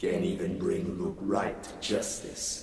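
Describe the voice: A man uses a put-on character voice, low-pitched and slightly mellow, with vocal fry. He talks slowly in a flat monotone.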